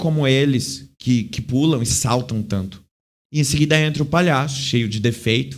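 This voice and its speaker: An unremarkable speaking voice: a man at medium pitch, with ordinary pitch variation and a fairly slow pace. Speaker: clown and theatre actor. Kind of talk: interview.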